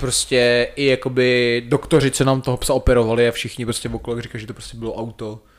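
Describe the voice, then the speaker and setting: At a fairly quick pace and with hardly any pauses, a man talks in a flat monotone at a medium pitch. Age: 20s. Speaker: professional soldier. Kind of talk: casual chat.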